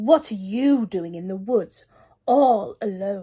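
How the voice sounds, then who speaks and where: A woman puts on a growling character voice at a medium pitch. She speaks at a fairly slow pace. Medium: read story. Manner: sly, growling.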